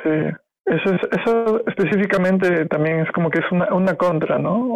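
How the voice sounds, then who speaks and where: The male speaker keeps to a moderate tempo. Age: 30s. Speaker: physics student. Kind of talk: casual chat. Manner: halting, many fillers.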